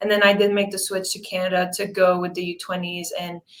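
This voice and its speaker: Here a woman speaks with a Quebec accent at medium pitch. Her intonation is monotone and flat. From Quebec, Montreal. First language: French. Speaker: professional soccer player. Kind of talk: interview.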